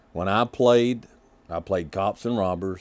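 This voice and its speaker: A man with a Southern US accent talks at a moderate pace with ordinary pitch variation. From Kentucky. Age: 50s. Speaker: podcast host. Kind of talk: casual monologue.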